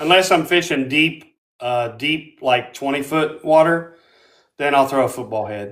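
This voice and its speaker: A man with an American accent talks at a fairly slow pace in an ordinary speaking voice. His pitch is fairly high with ordinary variation, on a very clean recording with a silent background. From southern Ohio (Portsmouth, Ohio River). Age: 60s. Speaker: tournament bass angler. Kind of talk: casual interview chat with live audience questions.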